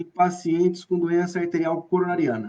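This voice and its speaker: Here a man talks in an interior São Paulo accent. His voice is high-pitched with a dark, mellow tone. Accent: interior São Paulo accent (caipira). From Brazil, Bauru, interior of São Paulo state. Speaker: professor of physical education. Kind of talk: online lecture (live stream). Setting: live video stream.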